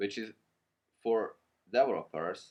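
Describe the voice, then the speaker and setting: This man speaks with a non-native accent. His pitch sits in the medium range. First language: not English. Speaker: programming tutorial creator. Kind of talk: tutorial. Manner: halting.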